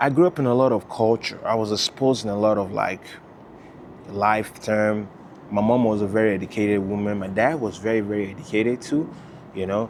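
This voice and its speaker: There is noticeable background noise as a man with a fairly low pitch speaks at a fairly quick pace with ordinary pitch variation. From Nigeria, Lagos (Surulere). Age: 20s. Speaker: vlogger. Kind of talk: personal storytelling monologue. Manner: casual, halting with repetitions.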